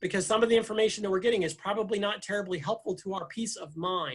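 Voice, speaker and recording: A man's high-pitched voice on a very clean recording with a silent background. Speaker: physician. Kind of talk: lecture. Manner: mumbling.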